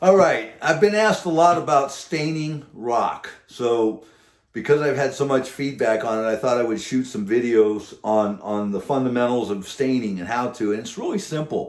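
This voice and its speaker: A man's medium-pitched voice at a moderate pace, with lively intonation and hardly any pauses. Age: 60s. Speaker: faux rock craftsman and instructor. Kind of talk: tutorial. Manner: halting.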